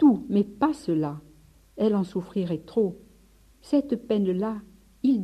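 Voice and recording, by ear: Reading aloud in a natural voice, the intonation lively throughout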